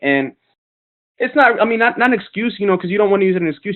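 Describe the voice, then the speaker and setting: With a New York accent, a man speaks with ordinary pitch variation. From Brooklyn, New York. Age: 20s. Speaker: network marketing leader. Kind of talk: motivational webinar talk. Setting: webinar conference call. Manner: casual, many filler words.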